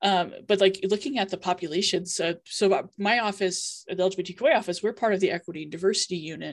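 A woman with an American accent has an ordinary speaking voice at a medium pitch, with ordinary pitch variation. She talks at a fairly quick pace with hardly any pauses over a quiet background. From Iowa, US Midwest. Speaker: university LGBTQ office director. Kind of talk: panel discussion.

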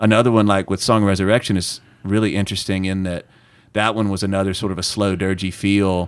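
Flat and monotone, a man's fairly low voice moves at a very fast pace. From US South. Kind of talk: casual interview chat.

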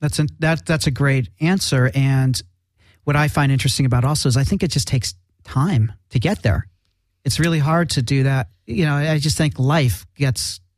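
On a very clean recording with a silent background, a man with a fairly high, somewhat breathy voice and lively intonation speaks at a moderate pace with very even loudness. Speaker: radio host. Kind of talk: live radio interview. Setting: studio.

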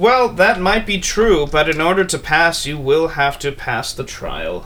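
Over clear background noise, a man performs a put-on character voice at a high pitch and a moderate pace. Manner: genteel, menacing.

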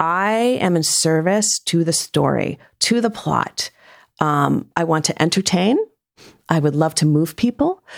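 A woman with an unremarkable speaking voice and an American accent speaks at a fairly slow pace in a fairly low pitch, with ordinary pitch variation and very even loudness. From US Northeast, Rhode Island. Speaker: fiction author. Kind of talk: casual interview chat.

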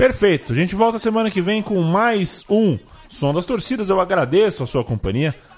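The speaker is a man. Noticeable background noise runs behind his voice. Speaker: podcast host. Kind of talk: casual chat.

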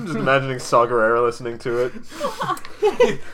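A put-on character voice speaks at a moderate pace over clear background noise. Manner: formal third-person speech, warm and enthusiastic.

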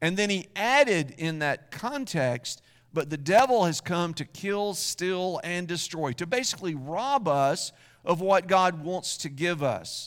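A man's high-pitched voice at a fairly slow pace, lively in intonation, in a very clean recording with a silent background. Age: 60s. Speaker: pastor. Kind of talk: sermon.

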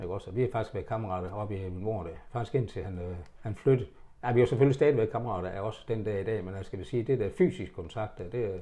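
The voice is dark, mellow and somewhat breathy, racing at a very fast pace with big swings in loudness. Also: man, fairly low pitch for a man, ordinary pitch variation. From Denmark, Horsens. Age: 70s. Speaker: retired haulier. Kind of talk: life story interview. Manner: halting.

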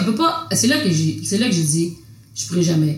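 A woman speaks at a moderate pace with very wide pitch swings, her voice carrying audible room echo over noticeable background noise. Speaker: visual artist, printmaker. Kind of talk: casual conversation.

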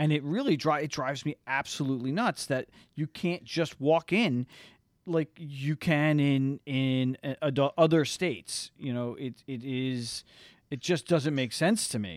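With an American accent, a man talks in an unremarkable speaking voice with ordinary pitch variation. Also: fairly high pitch for a man, fairly slow pace. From New Jersey. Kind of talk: interview.

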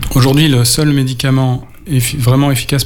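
Noticeable background noise and audible room echo surround a man who speaks with monotone, flat intonation. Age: 40s. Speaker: radio co-host living with Parkinson's. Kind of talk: radio talk show. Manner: halting.

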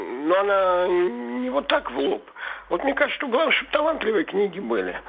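Over noticeable background noise, a man with a high pitch speaks at a moderate pace, his voice making very wide pitch swings. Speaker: caller. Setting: phone call.

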